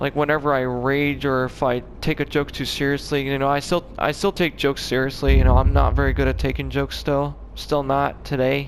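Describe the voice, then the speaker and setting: Noticeable background noise sits behind a man's voice. He talks at a fairly quick pace with hardly any pauses. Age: 20s. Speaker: gaming YouTuber. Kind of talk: casual vlog monologue. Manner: halting.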